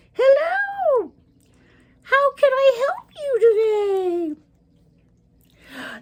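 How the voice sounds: A squeaky, put-on character voice speaks at a very slow pace. Long pauses come often. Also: female-sounding voice, extremely high pitch for a woman.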